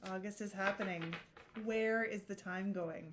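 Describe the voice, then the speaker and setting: A woman speaks quietly at a medium pitch. Her pitch variation is ordinary. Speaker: tarot reader. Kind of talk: tarot reading video. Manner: pensive, reacting in the moment.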